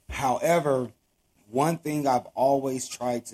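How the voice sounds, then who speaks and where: With an American accent, a man speaks at medium pitch in a plain, everyday voice. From Los Angeles, California (Watts). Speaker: podcast host. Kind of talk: interview.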